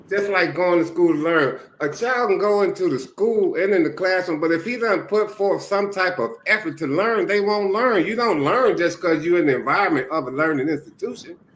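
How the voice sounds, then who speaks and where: With noticeable background noise behind him, a man talks at a fairly quick pace in a high pitch. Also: ordinary pitch variation, hardly any pauses. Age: 60s. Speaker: retired mentor. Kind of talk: casual chat.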